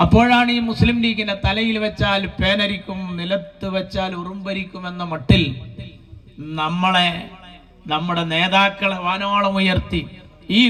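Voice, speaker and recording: Noticeable background noise runs under a man speaking. His pitch is high and his intonation fairly even. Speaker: political orator, comedy speaker for a political party. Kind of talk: rally speech, humorous political oratory to a crowd. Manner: witty, rhetorical, rhyming phrases.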